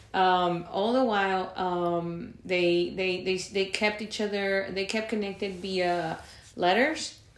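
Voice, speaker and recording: A woman at medium pitch speaks at a very slow pace with fairly even intonation, against noticeable background noise and audible room echo. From Monterrey, Mexico. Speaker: podcast co-host, real estate lender. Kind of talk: casual chat.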